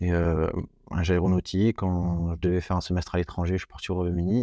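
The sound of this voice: A man talks fast in a low, dark, mellow voice with little pitch movement. The sound is dry and close, with no echo.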